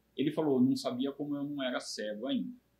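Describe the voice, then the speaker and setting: A man speaks with a fairly high pitch and a somewhat breathy sound. His pitch moves in very wide swings. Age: 60s. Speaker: brain tumor survivor, retired IT worker. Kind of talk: interview testimony.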